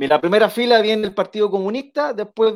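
A man is talking. His pace is moderate. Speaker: local council candidate. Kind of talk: interview.

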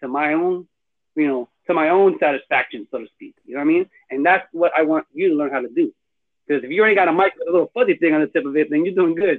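A man speaks at a very fast pace in a high voice. His pitch variation is ordinary. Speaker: podcast host. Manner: casual, slang-heavy, conversational.

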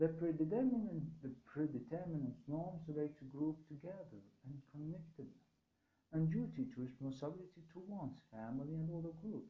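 The speaker has a normal speaking voice at a fairly quick pace. Pitch variation is ordinary. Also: man, fairly high pitch for a man. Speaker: university lecturer. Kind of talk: lecture.

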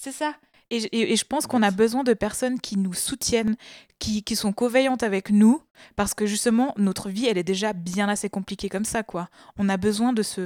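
A woman speaks at a fairly quick pace in an ordinary speaking voice, her pitch fairly high with ordinary variation, and the sound is dry and close with no echo. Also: very clean recording, silent background. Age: 30s. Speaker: activist. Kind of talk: casual chat.

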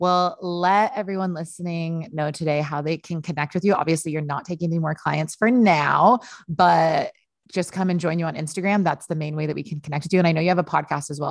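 The speaker is a woman with a fairly low pitch and an unremarkable speaking voice. She talks at a fairly quick pace with ordinary pitch variation. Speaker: podcast host. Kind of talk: casual interview chat. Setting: video call.

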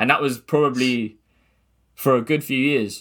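A man with a southern English accent speaks in a very clean recording with a silent background. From southern England, Gosport near Portsmouth. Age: 20s. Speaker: music producer. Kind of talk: casual interview chat.

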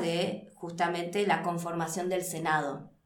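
At a fairly slow pace, a woman talks in an ordinary speaking voice at a medium pitch. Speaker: political scientist. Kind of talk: interview.

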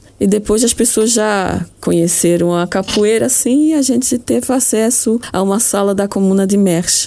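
A woman speaks at a fairly slow pace in a medium-pitched voice with lively intonation over noticeable background noise. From Luxembourg. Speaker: association president. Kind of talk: radio interview.

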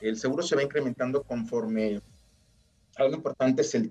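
Medium in pitch, a man's unremarkable speaking voice carries lively intonation with a dry, close sound and no echo. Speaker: insurance agent. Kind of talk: interview.

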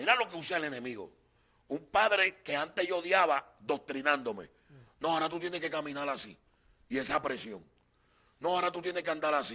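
Speaking at a fairly quick pace yet with long, frequent pauses, a man uses lively intonation and a fairly high pitch. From Puerto Rico, Loíza. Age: 40s. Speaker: evangelist. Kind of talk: testimony.

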